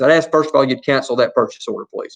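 A man with an Alabama accent. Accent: Southern US (Alabama). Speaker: school superintendent. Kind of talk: board meeting report. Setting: public meeting, livestreamed. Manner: fast.

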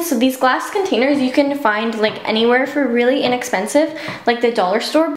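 Audible room echo surrounds a woman speaking at a moderate pace in a high pitch with ordinary pitch variation. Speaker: beauty vlogger. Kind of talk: casual vlog chat, home tour. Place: bathroom.

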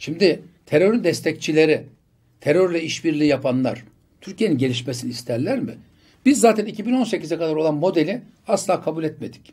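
Against a quiet background, a man with a fairly high pitch and a dark, mellow tone talks at a moderate pace with lively intonation. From Turkey, Bursa; Turkey. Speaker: politician; election candidate. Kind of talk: interview. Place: studio. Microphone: studio mic.

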